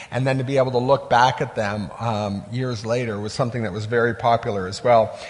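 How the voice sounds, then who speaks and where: Through noticeable background noise and audible room echo, a man speaks at a fairly quick pace. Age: 50s. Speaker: pastor. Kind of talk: sermon. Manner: halting.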